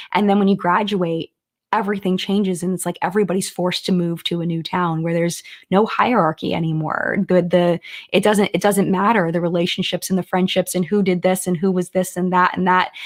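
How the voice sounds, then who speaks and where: A woman speaks at a medium pitch and a fairly quick pace. Her intonation stays monotone and flat. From Maryland, Silver Spring near Washington DC. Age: 40s. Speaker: beauty YouTuber. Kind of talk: live stream chat. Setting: live stream. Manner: casual, conversational.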